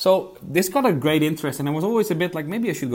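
A fairly high-pitched man's voice with a Dutch accent. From Netherlands. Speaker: investigative journalist. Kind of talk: interview. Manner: hesitant, many repetitions.

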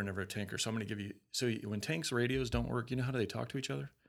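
A medium-pitched man with a Western US accent on a very clean recording with a silent background. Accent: non-Southern American, Western US. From Colorado, US. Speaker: Marine veteran. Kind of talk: interview, casual chat.

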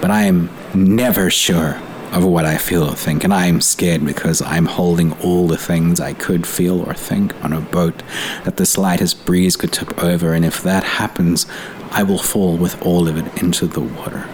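A man with a very deep, low pitch and fairly even intonation over noticeable background noise. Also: moderate pace. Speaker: poet. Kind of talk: poetry reading.

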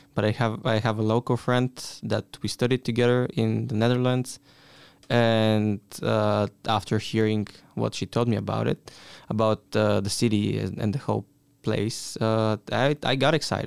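Close and dry with no echo, a man talks at a moderate pace with a Bulgarian accent. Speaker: exchange student. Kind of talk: casual chat.

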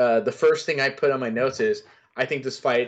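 A plain, everyday voice speaks in an American accent with fairly even intonation. The background is quiet. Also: man. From US South. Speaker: MMA analyst. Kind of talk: casual chat.

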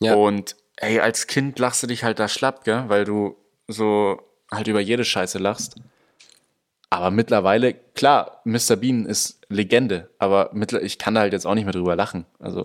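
Here is a man with an ordinary speaking voice at a fairly low pitch. He keeps a moderate pace and fairly even intonation. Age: young. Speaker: podcast co-host. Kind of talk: casual chat.

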